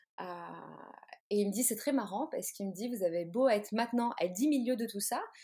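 Fairly quick and fairly high-pitched, a woman talks in a plain, everyday voice. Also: ordinary pitch variation. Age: 30s. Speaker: tarot reader and artist. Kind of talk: interview. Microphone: sound problems, noises and lag.

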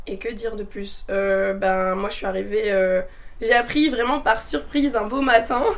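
Amid audible room echo, a woman with fairly high pitch speaks at a fairly slow pace with ordinary pitch variation. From north-eastern France (Meuse). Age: 20s. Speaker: nurse and traveller. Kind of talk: casual chat. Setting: recorded at her home.

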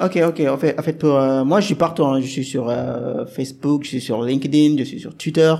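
A man's fairly high voice at a moderate pace, with ordinary pitch variation and hardly any pauses. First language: Wolof (speaking French). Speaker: software developer and podcaster. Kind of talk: interview. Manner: hesitant, many fillers.

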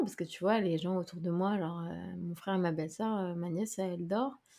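At a fairly quick pace, a normal speaking voice moves with fairly even intonation. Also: woman. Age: 30s. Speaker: content creator and podcaster. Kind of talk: casual chat.

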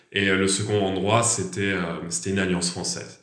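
A man with a fairly low pitch speaks at a moderate pace, with audible room echo. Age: 20s. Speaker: French language teacher. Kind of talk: casual interview.

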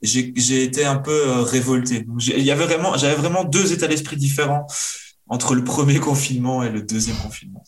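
A man with a fairly high voice, ordinary pitch variation and a moderate pace, with audible room echo. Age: 30s. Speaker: karate athlete and mental coach. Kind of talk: interview.

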